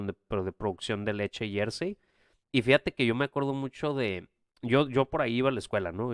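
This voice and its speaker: Dry and close with no echo, the recording is very clean and the background silent. A man talks at a moderate pace with ordinary pitch variation. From Mexico, Tijuana. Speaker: podcast co-host. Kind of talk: casual chat.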